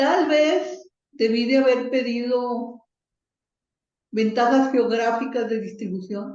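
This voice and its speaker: With long, frequent pauses, a woman talks at a very slow pace in a high voice with ordinary pitch variation. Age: 60s. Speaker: software distributor, computing pioneer. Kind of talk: interview.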